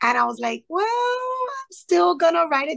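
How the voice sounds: Her voice is raspy with vocal fry, a fairly bright tone and lively intonation, and it is a woman speaking.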